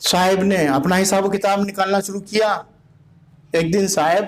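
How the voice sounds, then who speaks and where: With noticeable background noise behind him, a man speaks in a high pitch. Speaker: Shia Islamic scholar and preacher. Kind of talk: Islamic history sermon / religious lecture. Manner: narrative, storytelling delivery.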